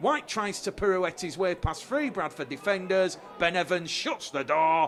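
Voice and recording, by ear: A man speaks at a moderate pace with a fairly bright tone.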